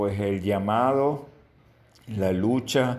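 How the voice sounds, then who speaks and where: This man speaks very slowly with fairly even intonation. There is audible echo in the room. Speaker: educator and children's rights advocate. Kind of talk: radio interview. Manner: halting, many fillers.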